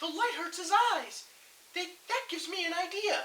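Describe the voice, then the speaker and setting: A man's squeaky, put-on character voice at an extremely high pitch, delivered at a moderate pace. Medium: read story.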